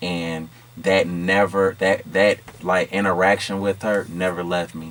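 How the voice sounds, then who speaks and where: Noticeable background noise sits behind a man with an American accent and a very deep, low pitch. He talks fairly slowly in a monotone, flat intonation. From Chicago, South Side. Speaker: content creator and rapper. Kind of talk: interview.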